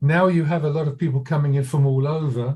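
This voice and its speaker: A fairly high-pitched man with an English accent, a dark, mellow tone, a somewhat breathy sound, fairly even intonation and a moderate pace. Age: 80s+. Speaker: audience member asking a question. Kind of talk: audience question. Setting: video call.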